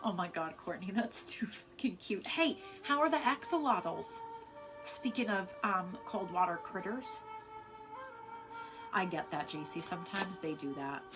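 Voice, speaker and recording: Over music in the background, the speaker's pitch swings very widely, with long, frequent pauses. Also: woman. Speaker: live-stream card reader. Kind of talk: casual live-stream chat. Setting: live stream. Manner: fast.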